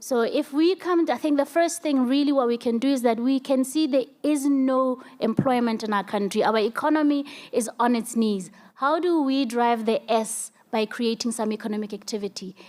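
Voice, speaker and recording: Speaking at a moderate pace with hardly any pauses, a woman uses a high pitch, ordinary pitch variation and very even loudness. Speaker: energy sector panelist. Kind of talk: panel discussion.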